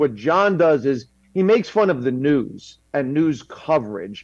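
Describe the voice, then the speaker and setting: In a normal speaking voice, a man with a fairly high pitch talks with lively intonation. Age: 50s. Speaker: comedian. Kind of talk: panel discussion.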